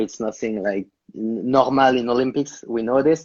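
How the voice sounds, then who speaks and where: A man with a non-native accent talks at a moderate pace in a medium pitch. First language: not English. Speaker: interviewer. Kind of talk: interview. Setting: Instagram live video call.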